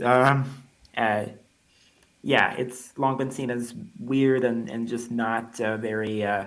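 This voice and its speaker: In a room with audible echo, a man speaks very slowly at a medium pitch. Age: 20s. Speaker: college student. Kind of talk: interview. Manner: halting, many repetitions and fillers.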